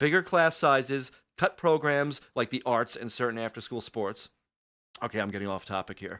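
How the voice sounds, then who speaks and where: A man with an American accent, medium pitch, bright and sharp tone, animated delivery and lively intonation, in dry, close sound with no echo and a quiet background. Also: moderate pace. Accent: Long Island accent, stronger when angry. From Long Island, New York. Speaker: radio podcast host. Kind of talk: talk radio rant.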